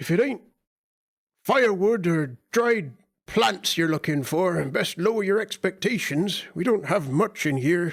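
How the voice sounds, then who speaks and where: A gruff, put-on character voice with lively intonation, very even loudness and a moderate pace. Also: man, high pitch for a man. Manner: gruff, grunting, curt.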